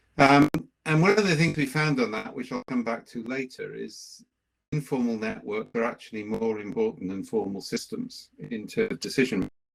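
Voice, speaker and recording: A man with a Welsh accent at a moderate pace. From Wales. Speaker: management consultant and researcher. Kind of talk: lecture.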